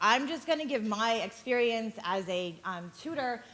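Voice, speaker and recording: This woman has an ordinary speaking voice, fairly high in pitch. She talks at a fairly slow pace with lively intonation. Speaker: tutor. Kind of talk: talk to parents at a community session.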